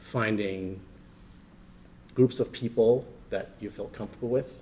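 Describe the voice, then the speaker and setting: The voice has a dark, mellow tone, is somewhat breathy, and moves at a fairly slow pace with fairly even intonation. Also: man, medium pitch for a man. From New Jersey, US. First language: Chinese dialect. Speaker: panelist. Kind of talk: panel discussion. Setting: library event with audience.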